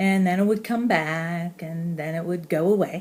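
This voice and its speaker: Fairly even intonation from a woman with a fairly low voice. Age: 60s. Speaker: high school English teacher with facial spasms. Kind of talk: personal testimony.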